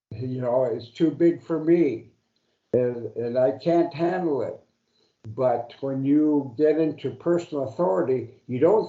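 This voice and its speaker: A man speaks at a fairly slow pace, with a fairly high pitch and ordinary pitch variation. Audible room echo surrounds his voice. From Alaska, Pribilof Islands. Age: 70s. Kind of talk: lecture. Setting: seminar room with audience. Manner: hesitant, many fillers.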